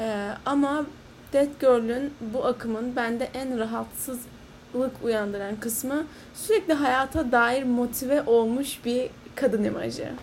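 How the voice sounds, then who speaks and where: Noticeable background noise sits under a voice that moves at a very slow pace with fairly even intonation. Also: woman, high pitch for a woman. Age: 20s. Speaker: podcast host. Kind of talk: solo monologue podcast.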